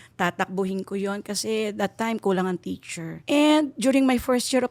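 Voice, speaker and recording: On a very clean recording with a silent background and a dry, close sound with no echo, a woman speaks at a fairly slow pace in a medium pitch with ordinary pitch variation. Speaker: teacher. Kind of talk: interview.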